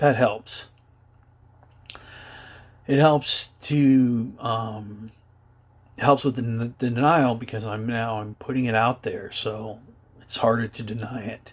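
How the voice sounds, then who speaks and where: A man talks at a very slow pace, with long, frequent pauses. His loudness swings widely while his intonation stays fairly even. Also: medium pitch for a man. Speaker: adult survivor of childhood abuse. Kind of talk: personal testimony to camera. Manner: hesitant, halting.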